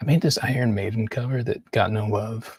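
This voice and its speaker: The voice is a man's, somewhat breathy, with ordinary pitch variation. The sound is dry and close, with no echo. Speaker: artist. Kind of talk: casual monologue. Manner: halting.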